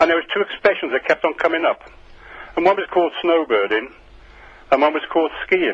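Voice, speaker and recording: A man with a British accent, fairly high-pitched, at a fairly quick pace. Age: 70s. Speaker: radio phone-in caller. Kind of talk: phone-in call. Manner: halting.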